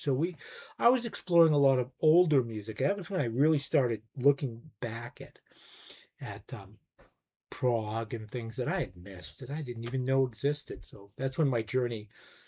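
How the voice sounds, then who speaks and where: Loudness swings widely as a man speaks at a moderate pace in a dark, mellow, somewhat breathy voice with ordinary pitch variation. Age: 60s. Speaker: music YouTuber, record collector. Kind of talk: casual monologue review.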